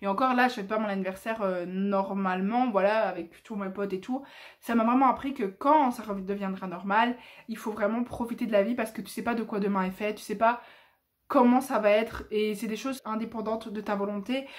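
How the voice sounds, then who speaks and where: Talking at a fairly quick pace, a woman uses a fairly high pitch. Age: 20s. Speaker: YouTuber. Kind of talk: casual vlog monologue. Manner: loud; animated.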